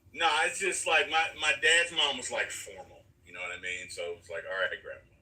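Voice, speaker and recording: Fairly quick speech with big jumps in volume over noticeable background noise. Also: man. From US South, Atlanta (born in Alabama). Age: 50s. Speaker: live stream host. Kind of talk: casual chat. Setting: live stream.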